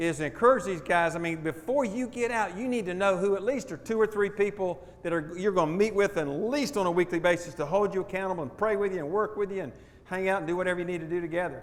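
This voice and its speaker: At a very fast pace, a man speaks in a high pitch with an animated tone. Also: ordinary pitch variation. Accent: Southern US. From US South, Jacksonville Florida. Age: 70s. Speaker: stewardship pastor. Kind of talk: testimony talk to audience.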